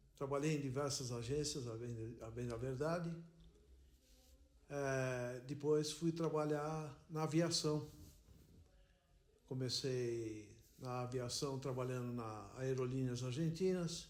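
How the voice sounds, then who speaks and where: With audible echo in the room, a man of medium pitch talks at a very slow pace. He leaves long, frequent pauses. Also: ordinary pitch variation. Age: 70s. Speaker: retired airline worker. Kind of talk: interview testimony.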